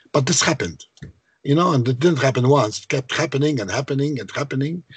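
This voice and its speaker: With a Maltese accent, a man speaks at a medium pitch and a fairly quick pace, his intonation fairly even and his voice somewhat breathy. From Malta. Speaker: composer and songwriter. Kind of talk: interview.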